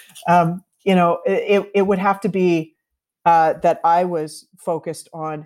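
A woman speaks at a moderate pace with a Canadian accent in a normal speaking voice. Her pitch sits fairly low and varies in an ordinary way. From Canada, Toronto. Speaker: bartender and bitters company founder. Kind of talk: interview. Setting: remote call over the internet.

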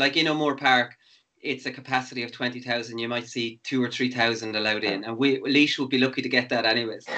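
A man with an Irish midlands accent talks at a fairly quick pace. His medium-pitched voice keeps fairly even intonation. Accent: Irish, Laois (midlands). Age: 40s. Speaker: sports podcast host, former footballer. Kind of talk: casual interview.

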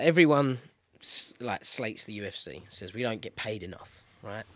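This voice belongs to a man. His accent is British. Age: 20s. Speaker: MMA fighter. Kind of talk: casual interview.

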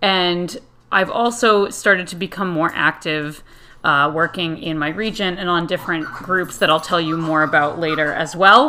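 With an American accent, a woman uses an ordinary speaking voice at a fairly low pitch, with ordinary pitch variation and a moderate pace, on a very clean recording with a silent background. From Connecticut, US. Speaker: podcast host and Irish dance teacher. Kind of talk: solo podcast monologue.

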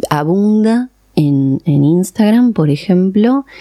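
A woman's dark, mellow voice with lively intonation at a very slow pace, in a dry, close sound with no echo. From Argentina (born in Iran, moved at age 4). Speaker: psychoanalyst. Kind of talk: interview. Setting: studio.

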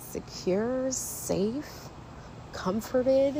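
A woman speaks over noticeable background noise. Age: 40s. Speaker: podcast host. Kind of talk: personal monologue.

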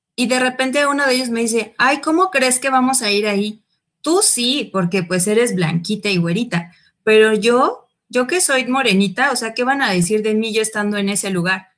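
A woman with a fairly high pitch speaks in a normal speaking voice, captured in a very clean recording with a silent background. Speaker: teacher. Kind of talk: panel discussion.

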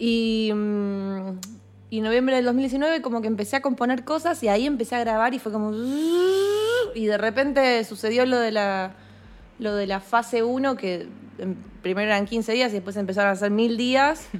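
A woman with a Rioplatense accent, fairly high-pitched, at a fairly slow pace with ordinary pitch variation. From Argentina. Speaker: singer-songwriter. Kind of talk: interview. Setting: remote call. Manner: casual, hesitant.

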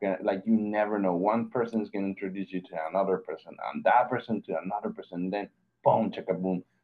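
Talking at a very fast pace with a Mexican accent, a man holds a fairly low pitch and a monotone, flat intonation while his loudness swings widely. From Mexico. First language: Spanish. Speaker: graphic designer. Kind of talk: casual interview. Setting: video call.

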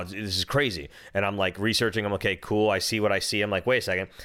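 Recorded very cleanly over a silent background, a man with an American accent speaks in a fairly low pitch with a bright, sharp tone. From Minnesota. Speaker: podcast co-host, father and DJ. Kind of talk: casual chat. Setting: studio.

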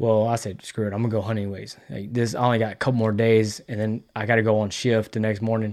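In a southeast Texas accent, a man with a fairly low pitch speaks at a very fast pace in a monotone, flat intonation, with hardly any pauses. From Texas, Sour Lake (southeast Texas). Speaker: firefighter and public-land hunter. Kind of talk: casual chat.

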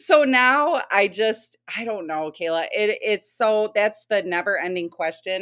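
A woman with an American accent speaks in an unremarkable speaking voice at a fairly slow pace with lively intonation, on a very clean recording with a silent background. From Michigan. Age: 30s. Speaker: mother and business owner. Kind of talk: casual interview chat.

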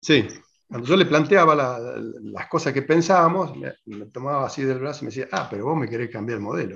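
This man talks at a fairly quick pace with lively intonation, vocal fry and big swings in loudness. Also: medium pitch for a man. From Argentina, southwest Córdoba province. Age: 60s. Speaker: farmer. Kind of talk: interview. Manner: halting, many repetitions.

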